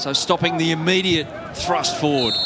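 There's noticeable background noise as a man speaks at a moderate pace. His high-pitched voice has an excited tone. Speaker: football match commentator. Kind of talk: live sports commentary. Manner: rising, excited tone at key moments.

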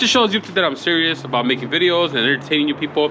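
A man talks at a very fast pace. Light background noise can be heard. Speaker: car hobby vlogger. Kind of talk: casual vlog chat. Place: street. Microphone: phone near.

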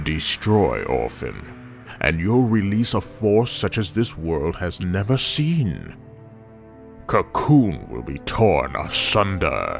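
In a put-on character voice, a man speaks at a very slow pace with a fairly low pitch while clear music plays in the background. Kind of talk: grand villain speech. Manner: calm, lofty, contemptuous.

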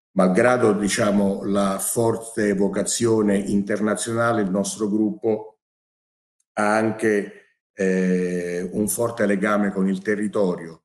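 A man talks at a very slow pace with very even loudness and fairly even intonation. The background is quiet. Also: fairly low pitch for a man. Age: 60s. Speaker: business executive. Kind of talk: formal ceremony speech. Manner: formal. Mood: formal, measured. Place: office. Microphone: webcam.

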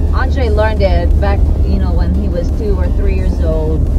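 Loud background noise surrounds a woman speaking at a moderate pace. The sound is dry, with no echo. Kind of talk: casual vlog chat. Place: car. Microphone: phone near.

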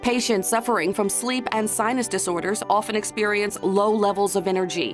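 With music in the background, a woman speaks at a moderate pace and fairly high pitch, her pitch varying in an ordinary way. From New Orleans. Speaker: narrator. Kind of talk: corporate narration.

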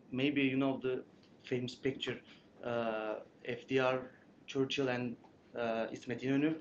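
A man with a Turkish accent talks at a very slow pace and medium pitch, with monotone, flat intonation. Long, frequent pauses break up his speech, and light background noise is present. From Turkey. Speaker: graduate student presenter; presenter. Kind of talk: conference presentation. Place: meeting room. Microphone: camera far.

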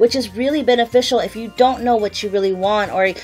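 A woman speaks at a fairly quick pace with ordinary pitch variation, faint music playing in the background. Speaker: beauty vlogger. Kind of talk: casual vlog chat. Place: home room.

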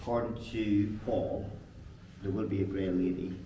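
A man talks in a very deep, low voice that is somewhat breathy, with noticeable noise in the background. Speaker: paranormal investigator guide. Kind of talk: casual tour commentary. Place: tunnel cave. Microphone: camera far.

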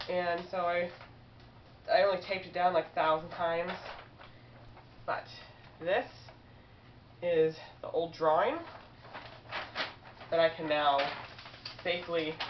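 A woman at a moderate pace, with long, frequent pauses, fairly even intonation and noticeable background noise. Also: fairly low pitch for a woman. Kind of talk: casual vlog chat. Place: home room. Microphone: webcam.

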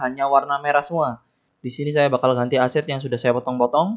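A man's voice sits at a fairly high pitch, with the background quiet. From Indonesia. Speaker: game development tutorial youtuber; game development tutor. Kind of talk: screen-recorded coding tutorial; tutorial. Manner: casual, thinking aloud with fillers. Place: home room.

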